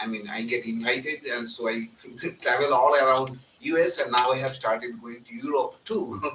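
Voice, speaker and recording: Ordinary pitch variation and big swings in loudness in a Bengali accent, over noticeable background noise. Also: man, medium pitch for a man, moderate pace. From India, northern West Bengal. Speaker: monk. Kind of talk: satsang talk. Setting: live event at a center, live streamed.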